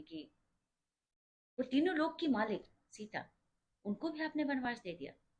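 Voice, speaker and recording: A woman is talking. Her voice has a somewhat breathy quality. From India, Uttar Pradesh (Awadh region). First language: Awadhi (mixed with Bhojpuri) (speaking Hindi). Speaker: religious storyteller explaining a devotional song. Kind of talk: informal explanatory storytelling.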